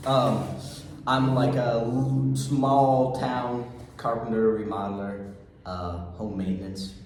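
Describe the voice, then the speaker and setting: Very slowly, a man with an American accent talks using lively intonation. Audible room echo and noticeable background noise surround him. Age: 20s. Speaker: carpenter. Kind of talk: casual chat. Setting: workshop office.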